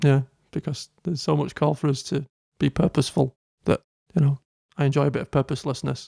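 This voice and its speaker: A man's fairly high, dark and mellow voice with vocal fry, very fast speech broken by long, frequent pauses, fairly even intonation, and a dry, close sound with no echo. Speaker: podcast co-host. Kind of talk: casual chat.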